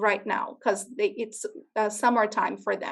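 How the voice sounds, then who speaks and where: A woman speaks with lively intonation in a Portuguese accent. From Brazil. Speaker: educator presenting to school classes. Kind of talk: classroom presentation to children.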